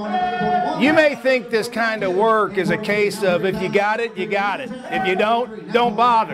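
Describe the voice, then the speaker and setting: A man speaks at a fairly slow pace in a high pitch. Clear music plays in the background. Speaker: TV news reporter. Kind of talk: TV news reporter narration.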